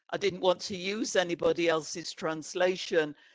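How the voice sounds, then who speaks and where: With an English accent, a woman of medium pitch talks at a fairly slow pace in a dry, close sound with no echo. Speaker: author and playwright. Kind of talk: book presentation interview. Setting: online event.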